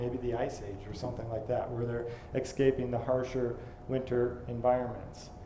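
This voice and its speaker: Audible room echo surrounds a man's medium-pitched voice. He talks at a fairly quick pace. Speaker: lecturer on creationist archaeology. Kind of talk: lecture. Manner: fast; hesitant, many fillers.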